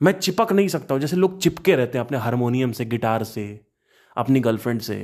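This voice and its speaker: This man talks at a moderate pace with a medium pitch. His intonation is lively. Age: 30s. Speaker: podcaster. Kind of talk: casual monologue. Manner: halting.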